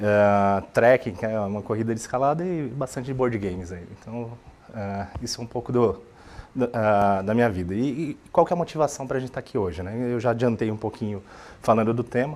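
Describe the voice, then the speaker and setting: A man with a Brazilian accent talks at a fairly quick pace and a medium pitch. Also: ordinary pitch variation. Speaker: software architect, conference speaker. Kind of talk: tech talk presentation. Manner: halting, many fillers and repetitions.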